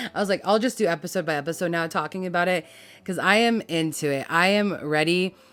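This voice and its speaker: At a fairly quick pace, a woman with a fairly low pitch and ordinary pitch variation talks over music in the background. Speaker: YouTuber reviewing TV series. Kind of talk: casual vlog talk to camera. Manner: conversational, full of fillers.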